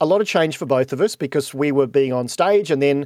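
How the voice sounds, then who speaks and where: A man with an Australian accent speaks with ordinary pitch variation in a dry, close sound with no echo. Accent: Australian, said to sound a bit posh. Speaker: podcast host and keynote speaker. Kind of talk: interview conversation. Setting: video call.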